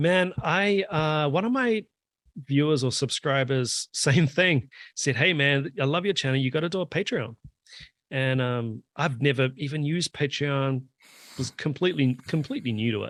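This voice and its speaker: Dry and close with no echo, a man's fairly high voice with a New Zealand accent moves at a moderate pace with ordinary pitch variation. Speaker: drummer and drum YouTuber. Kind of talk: casual chat.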